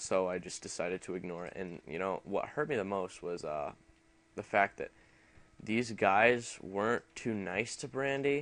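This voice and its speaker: A mumbling man at a moderate pace, fairly low in pitch, with lively intonation. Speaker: gaming youtuber. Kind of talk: casual chat. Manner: halting.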